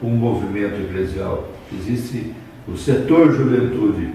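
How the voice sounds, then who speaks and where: There is audible room echo and noticeable background noise. A man with a medium pitch speaks at a moderate pace. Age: 70s. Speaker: bishop. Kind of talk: interview. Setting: student video interview.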